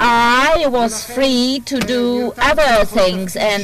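Ordinary pitch variation comes through in a dry sound with no echo, with music in the background. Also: woman. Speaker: court interpreter. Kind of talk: testimony. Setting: courtroom. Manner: formal. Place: hall.

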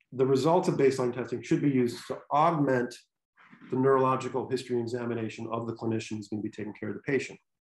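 Speaking very fast with an American accent, a man keeps a medium pitch and fairly even intonation amid audible room echo. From Michigan. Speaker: sports neurologist; presenter. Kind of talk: lecture. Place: home room. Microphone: webcam.

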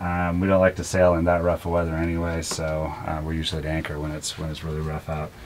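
A man talks at a very fast pace with a very deep, low pitch. Light background noise sits behind him. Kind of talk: casual tour explanation. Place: boat. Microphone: camera far.

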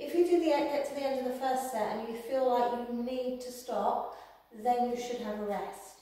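Strong room echo surrounds a woman speaking at a moderate pace with a high pitch. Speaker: exercise instructor. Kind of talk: tutorial. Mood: calm, encouraging. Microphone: camera far.

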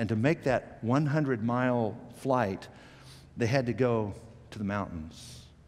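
A man speaks with a slightly mellow tone. His pitch varies an ordinary amount.

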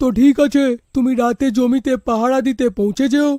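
A cartoonish character voice at a moderate pace, with fairly even intonation and a dry, close sound with no echo. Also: man, extremely high pitch for a man.

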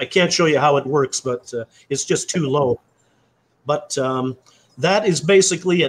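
In a dry, close sound with no echo, a man with a fairly high pitch speaks at a moderate pace, somewhat breathy, with long, frequent pauses. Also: ordinary pitch variation. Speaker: custom bicycle fork builder. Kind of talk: casual interview with show-and-tell.

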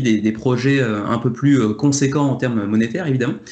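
Audible room echo around a man's fairly quick delivery. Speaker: board game video creator. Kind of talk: casual debate. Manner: energetic.

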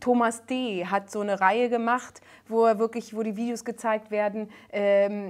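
This woman's voice sits fairly high. The background is quiet. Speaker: singer and comedian, guest. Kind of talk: casual talk show conversation. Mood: emotional, earnest storytelling. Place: studio.

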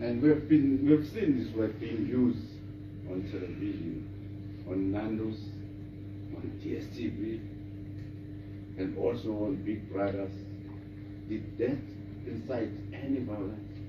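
Noticeable background noise runs under the speech. The pace is very slow, with long, frequent pauses. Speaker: lawyer. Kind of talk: courtroom examination. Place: hall. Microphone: camera far.

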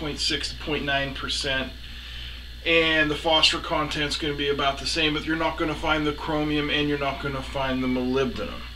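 A man's monotone, flat delivery at a moderate pace over noticeable background noise. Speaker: welding channel host. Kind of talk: tutorial. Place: workshop.

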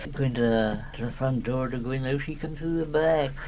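A man speaks in a Shropshire accent. Loud background noise is heard. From Shropshire, England. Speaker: elderly dialect informant. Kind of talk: oral history interview. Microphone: old recording.

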